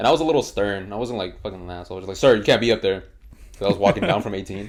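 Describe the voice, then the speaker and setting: The speaker talks at a very fast pace with ordinary pitch variation and big swings in loudness. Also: man, fairly low pitch for a man. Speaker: podcast host. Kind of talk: casual chat. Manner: stutter.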